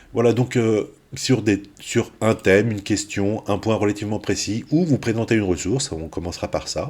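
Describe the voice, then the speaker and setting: Moving at a moderate pace, a man speaks with a fairly low pitch and ordinary pitch variation. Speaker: university maths lecturer. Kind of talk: recorded lecture. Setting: pre-recorded video. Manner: hesitant, many fillers.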